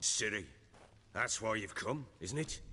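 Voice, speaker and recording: A man in a put-on character voice, raspy and medium in pitch, at a fairly slow pace, over clear background noise. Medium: video game. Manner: gruff, blunt.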